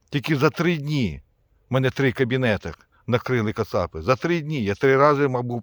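This man speaks at a medium pitch and a moderate pace, with lively intonation. The sound is dry and close, with no echo. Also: very clean recording, silent background. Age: 50s. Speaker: army officer, war veteran. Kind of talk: video appeal. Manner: emphatic, impassioned.

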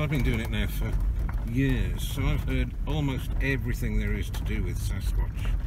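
Moderate pace, with a dry sound with no echo and loud background noise. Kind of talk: casual vlog chat. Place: car. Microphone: phone near.

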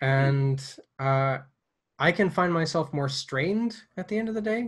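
Against a quiet background, a man with an American accent sounds somewhat breathy and uses lively intonation. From United States. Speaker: missionary and podcast host. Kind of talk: casual interview. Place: home room. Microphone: earbuds.

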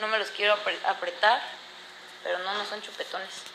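A woman's flat, monotone delivery at a fairly quick clip, with noticeable background noise. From Mexico, La Paz, Baja California Sur. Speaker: reality competition contestant. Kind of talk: casual livestream chat. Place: home room. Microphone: phone near.

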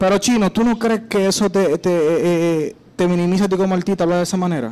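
The voice moves at a fairly quick pace with ordinary pitch variation. Its loudness stays very even. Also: man, high pitch for a man. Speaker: radio show host and interviewer. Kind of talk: radio interview host. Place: studio. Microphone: studio mic.

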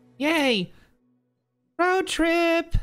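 A squeaky put-on character voice at an extremely high pitch. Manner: excited, cheerful.

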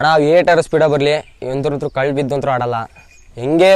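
This man has an ordinary speaking voice, pitched fairly high with fairly even intonation. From Karnataka village. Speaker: ram owner and fighting sheep keeper. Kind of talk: casual interview.

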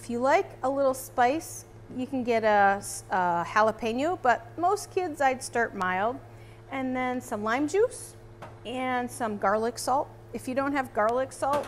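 A woman speaks at a fairly slow pace over light background noise. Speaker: naturalist cooking instructor. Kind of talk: tutorial. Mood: cheerful, friendly. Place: kitchen. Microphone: lapel.

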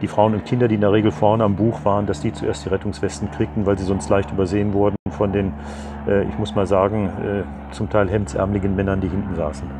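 A man talks at a very fast pace in a fairly low voice. Noticeable background noise runs underneath. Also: ordinary pitch variation. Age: 70s. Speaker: retired teacher, sailor and sea rescuer. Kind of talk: interview answer. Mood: calm, reflective, some hesitations. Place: garden. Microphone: lapel.

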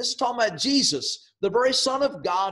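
A man with lively intonation against a quiet background. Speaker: preacher. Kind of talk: sermon. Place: home room. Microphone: webcam.

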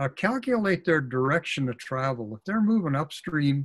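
A man with an American accent, somewhat breathy, fairly high in pitch, with very wide pitch swings. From Oregon coast, US Pacific Northwest; Oregon. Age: 70s. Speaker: fly fishing author and expert; presenter. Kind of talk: webinar presentation. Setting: video call. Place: office. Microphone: webcam.

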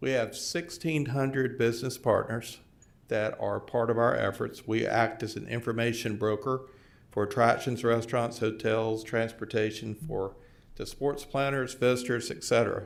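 With a Tennessee accent, a man speaks at a moderate pace in a medium pitch with fairly even intonation. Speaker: tourism organization president. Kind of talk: formal presentation. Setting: county board meeting.

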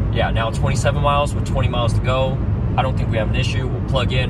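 A man speaking at a very fast pace, dry sound with no echo, music in the background. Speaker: vlogger. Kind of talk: casual vlog chat. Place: car. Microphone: phone near.

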